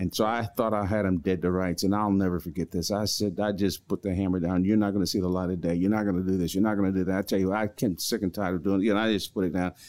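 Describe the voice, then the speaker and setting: A man with an American accent speaks at a very fast pace with hardly any pauses. His very deep, low voice stays monotone and flat, with very even loudness. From US Northeast, Newark, New Jersey. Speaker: retired pastor. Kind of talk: interview.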